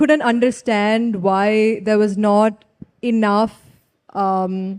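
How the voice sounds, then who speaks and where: A woman with an Indian accent talks at a very slow pace and a fairly high pitch, recorded with a dry, close sound and no echo. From India, Kerala (Trivandrum). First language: Tulu. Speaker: writer. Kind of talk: festival panel conversation. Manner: casual, conversational.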